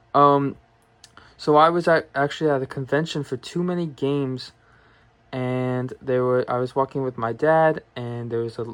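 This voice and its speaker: A man mumbles at a fairly high pitch with fairly even intonation. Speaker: toy collector. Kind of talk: casual talk to camera. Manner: mumbling.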